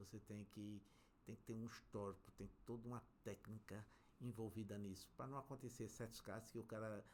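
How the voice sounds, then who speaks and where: Using an ordinary speaking voice, a man at a medium pitch talks at a fairly quick pace with fairly even intonation. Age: 60s. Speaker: civil engineer, construction company director. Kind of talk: interview conversation.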